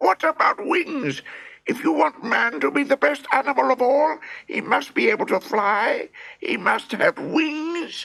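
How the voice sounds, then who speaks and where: High-pitched put-on character voice. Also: fairly slow pace. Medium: read story. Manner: complaining.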